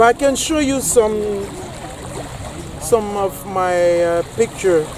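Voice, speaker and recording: A man with a high pitch and ordinary pitch variation can be heard through noticeable background noise. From Côte d'Ivoire. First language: French. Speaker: finance ministry worker on tour. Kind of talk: casual chat. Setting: outdoors. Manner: halting.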